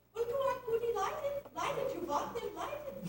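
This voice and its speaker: Someone uses a squeaky, put-on character voice at a moderate pace, with slight echo. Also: woman, extremely high pitch for a woman. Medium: stage play. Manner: excitable.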